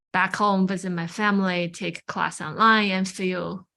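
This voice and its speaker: A woman's medium-pitched voice with a bright, sharp tone, in a Chinese accent, at a very slow pace with fairly even intonation. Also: quiet background. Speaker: Buddhist chaplain. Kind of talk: personal testimony.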